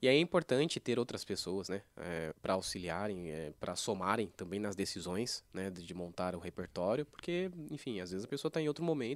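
A man's voice with very wide pitch swings at a moderate pace, in a very clean recording over a silent background. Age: 20s. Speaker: church worship musician. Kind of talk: casual chat.

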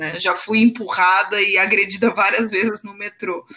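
Her fairly high voice has a bright, sharp tone, and the woman speaks at a fairly slow pace with ordinary pitch variation. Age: 30s. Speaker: copywriter. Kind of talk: casual chat.

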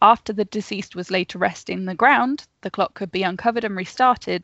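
A woman's normal speaking voice at a medium pitch, with ordinary pitch variation. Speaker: podcast host. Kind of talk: casual chat. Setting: video call.

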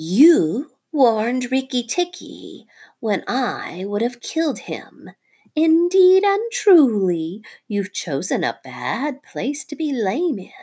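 A female-sounding voice hisses in a put-on character voice, high-pitched with very wide pitch swings. The pace is very slow. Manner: hissing, menacing.

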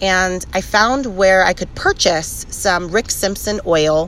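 Noticeable background noise sits behind a woman talking at a fairly slow pace. Her medium-pitched voice keeps fairly even intonation. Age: 20s. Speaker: cannabis podcast host. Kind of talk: casual chat.

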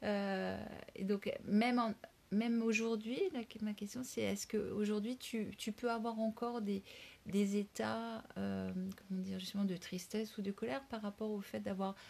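A woman with a normal speaking voice, a medium pitch, fairly even intonation, and a fairly slow pace. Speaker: podcast host and workshop leader. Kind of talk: casual interview. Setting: outdoors on a walk.

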